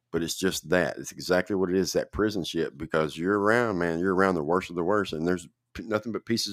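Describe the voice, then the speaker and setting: With a Tennessee accent and a very deep, low pitch, a man talks at a fairly quick pace in a dry, close recording with no echo. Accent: Southern US (Tennessee). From middle Tennessee. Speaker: podcast host. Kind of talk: casual chat. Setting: live online show.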